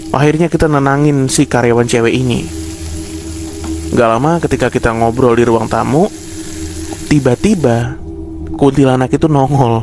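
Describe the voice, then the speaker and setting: A man with a medium-pitched voice speaks at a moderate pace with ordinary pitch variation and very even loudness, leaving long, frequent pauses while music plays in the background. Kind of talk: horror story narration told casually while cooking. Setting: recorded at home while cooking. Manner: casual, conversational, storytelling.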